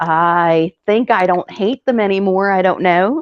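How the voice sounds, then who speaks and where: Recorded with a dry, close sound and no echo, a woman speaks with an American accent. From South Philadelphia, then 30 years in US South. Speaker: live stream panelist. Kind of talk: casual chat.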